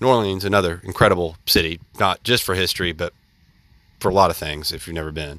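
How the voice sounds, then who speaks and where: With a Southern US accent, a man talks at a very fast pace in a bright, sharp tone, the sound dry and close with no echo on a very clean recording with a silent background. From US South, central Alabama. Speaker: podcast host. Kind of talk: solo monologue commentary.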